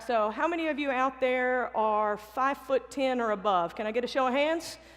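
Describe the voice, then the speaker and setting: A woman talks with a high pitch. Her pitch varies in an ordinary way. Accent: Southern. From US South. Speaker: basketball coach. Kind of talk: motivational talk. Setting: stage with audience.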